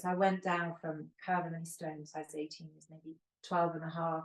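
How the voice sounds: A woman speaks low in pitch at a fairly quick pace, her voice showing little pitch movement.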